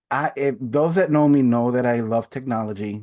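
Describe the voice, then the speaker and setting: A man with a Spanish accent speaks at a medium pitch and a moderate pace. His pitch varies in an ordinary way, and the background is quiet. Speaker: adult education coordinator. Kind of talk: webinar presentation. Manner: halting, with pauses and fillers.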